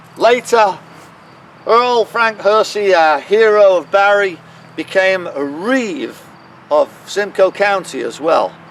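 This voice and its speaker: A man's high-pitched voice with ordinary pitch variation, at a very slow pace with long, frequent pauses, over noticeable background noise. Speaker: town crier. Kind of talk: guided walking tour narration, storytelling. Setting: outdoors in a cemetery. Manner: dramatic, animated storytelling.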